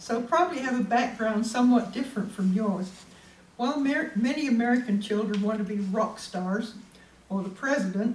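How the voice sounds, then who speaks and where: Audible room echo colors speech delivered at a moderate speed, its pitch shifting in an ordinary way. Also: woman. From England, Great Yarmouth, Norfolk. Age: 70s. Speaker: local history presenter. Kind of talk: public talk.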